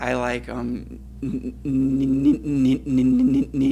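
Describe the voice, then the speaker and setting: Room echo is audible. A man speaks with an American accent. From Cleveland, Ohio, US Midwest. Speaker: poet. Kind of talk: audience Q&A after a poetry reading. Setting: reading event with audience. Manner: halting, many repetitions.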